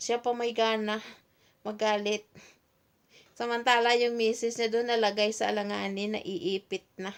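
A woman speaks at a moderate pace in a monotone, flat intonation, with long, frequent pauses. The recording is very clean, the background silent. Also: fairly high pitch for a woman. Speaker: OFW advocate vlogger. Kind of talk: solo livestream talk.

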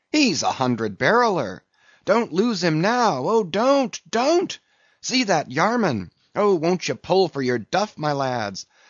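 A man does a put-on character voice, high-pitched for a man, with big pitch swings, a slow pace, and a dry, close sound with no echo.

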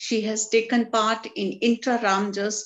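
The woman's pitch is fairly high, and she talks at a fairly slow pace. The background is quiet. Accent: Indian. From India. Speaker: teacher. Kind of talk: reading aloud. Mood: warm, appreciative. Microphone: video call.

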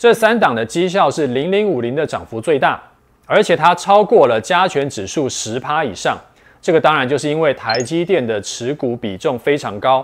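A man with a fairly high voice talks at a moderate pace, his pitch swinging very widely. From Taiwan. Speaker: investment video host. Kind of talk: scripted explainer. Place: studio. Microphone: lapel.

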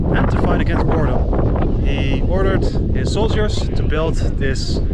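A man's voice comes through dry with no echo over loud background noise. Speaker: travel vlogger. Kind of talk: casual vlog chat. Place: open country. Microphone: phone near.

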